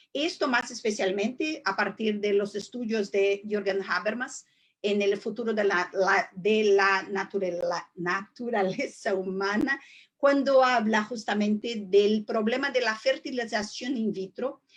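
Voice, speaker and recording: A woman's fairly high voice with a Portuguese accent, fairly slow pace and ordinary pitch variation. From southern Brazil. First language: Portuguese (speaking Spanish). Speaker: judge and law professor. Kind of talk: webinar lecture. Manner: slow, deliberate; halting, many fillers.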